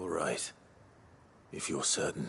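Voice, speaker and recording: Over clear background noise, a man puts on a raspy character voice. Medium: video game. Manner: calm, understated.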